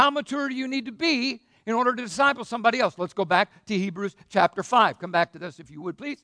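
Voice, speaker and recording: At a very fast pace, a man with an extremely high pitch and a bright, sharp tone projects his raised voice with lively intonation and big swings in loudness, the sound dry and close with no echo over a quiet background. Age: 60s. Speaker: pastor. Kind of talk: sermon. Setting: church.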